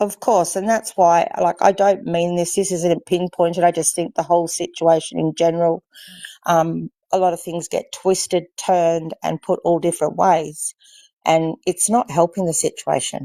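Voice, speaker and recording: A woman with an Australian accent speaks at a moderate pace and a fairly low pitch, her intonation fairly even, in a dry, close sound with no echo. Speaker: livestream guest. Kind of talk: casual chat.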